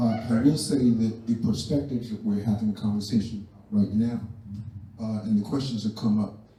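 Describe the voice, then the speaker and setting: A man with a medium pitch talks fairly quickly and with fairly even intonation while noticeable background noise fills the clip. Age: 70s. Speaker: community elder. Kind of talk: community discussion remarks. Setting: community center event.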